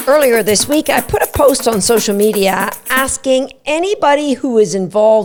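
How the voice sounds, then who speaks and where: A woman with high pitch and lively intonation at a moderate pace, with noticeable background noise. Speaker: dog agility trainer. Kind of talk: podcast talk.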